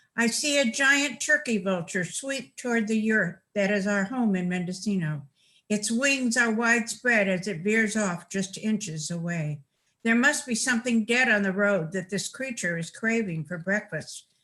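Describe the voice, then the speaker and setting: A woman with an American accent talks at a moderate pace in a bright, sharp tone. Her intonation is lively. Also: fairly high pitch for a woman. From California, Los Angeles. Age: 80s+. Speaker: writer. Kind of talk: reading aloud.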